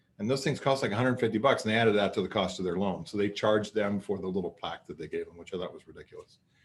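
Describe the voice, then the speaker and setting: Pitch varies in an ordinary way. The pace is very fast. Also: man. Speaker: corporate trainer. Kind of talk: webinar lecture.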